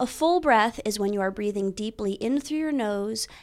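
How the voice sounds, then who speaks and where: A woman talks at a medium pitch in a normal speaking voice. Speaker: breathwork teacher and actor. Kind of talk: guided breathing meditation.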